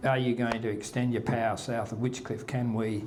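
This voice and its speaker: Noticeable background noise fills the recording. A man talks, and there is audible room echo. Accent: Australian. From Western Australia, Margaret River. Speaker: local historian speaker. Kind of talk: talk to local audience. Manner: halting.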